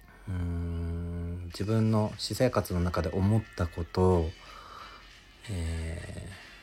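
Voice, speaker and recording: With music in the background, a man speaks at a very deep, low pitch, varying it in an ordinary way. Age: 20s. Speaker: podcast host, office worker. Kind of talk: casual solo monologue. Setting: home. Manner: animated.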